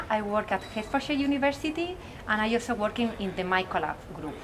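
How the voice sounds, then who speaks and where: A woman's fairly high-pitched voice in a Spanish accent, with lively intonation and noticeable background noise. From Spain. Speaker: mycology researcher. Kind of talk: interview.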